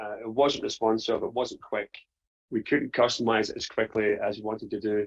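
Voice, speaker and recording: The speaker talks at a fairly quick pace in a Scottish accent. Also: man. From Scotland. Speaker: print business owner. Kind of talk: testimony.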